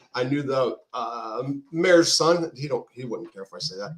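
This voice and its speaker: A man speaks with a Californian accent. His pitch is fairly high. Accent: Californian American. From Southern California, San Pedro. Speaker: former prisoner, writer. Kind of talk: interview. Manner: halting, many fillers.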